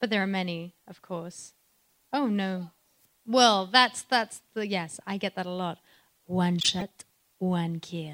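Speaking at a very slow pace with long, frequent pauses, a woman at medium pitch shows ordinary pitch variation and big swings in loudness. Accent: French. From France. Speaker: voice actress. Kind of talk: live panel Q&A. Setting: stage with audience.

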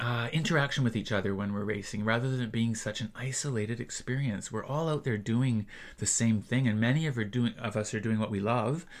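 With a plain, everyday voice, a man of medium pitch talks at a fairly quick pace with hardly any pauses. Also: ordinary pitch variation. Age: 60s. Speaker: triathlon coach and athlete. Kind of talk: casual interview chat. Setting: studio.

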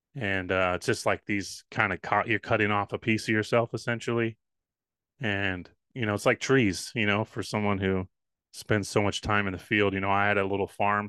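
A man's fairly low voice with a bright, sharp tone and monotone, flat intonation, at a moderate pace, the sound dry and close with no echo. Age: 30s. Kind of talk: casual interview chat.

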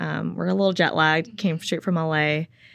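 In a Californian accent, a woman speaks at a fairly low pitch with fairly even intonation. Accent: Californian American. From Los Angeles, California. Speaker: professional tennis player. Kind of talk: casual interview chat. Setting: in-person studio. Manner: many filler ums.

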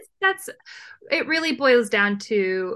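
A woman is talking. Her voice sounds bright and sharp. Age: 30s. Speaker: travel blogger. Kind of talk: interview.

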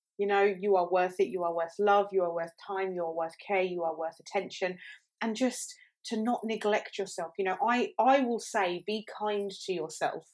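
In an ordinary speaking voice, a woman talks at a moderate pace and medium pitch with ordinary pitch variation on a very clean recording with a silent background. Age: 30s. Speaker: mental health podcast co-host. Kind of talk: casual chat.

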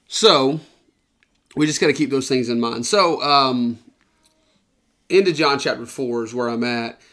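A man with a Southern US accent talks fairly slowly at medium pitch, with ordinary pitch variation and long, frequent pauses. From US South, Georgia. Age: 20s. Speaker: podcast co-host. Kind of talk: casual Bible discussion. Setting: indoors at a round table.

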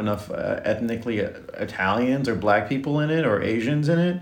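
Noticeable background noise and audible room echo surround the speaker. A man talks at a moderate pace. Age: 40s. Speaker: nurse. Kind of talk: casual chat.

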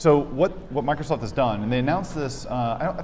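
This man talks at a fairly quick pace in a normal speaking voice, with ordinary pitch variation. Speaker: developer. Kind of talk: casual interview. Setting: in person at a conference.

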